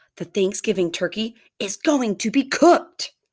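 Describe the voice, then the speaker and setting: In a put-on character voice, a woman growls at a fairly high pitch on a very clean recording with a silent background. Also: moderate pace. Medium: read story.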